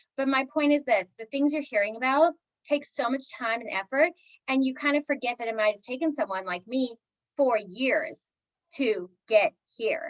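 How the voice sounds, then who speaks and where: With an animated tone, a high-pitched woman speaks with ordinary pitch variation in a dry, close sound with no echo. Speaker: network marketing coach. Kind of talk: team call talk. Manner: fast.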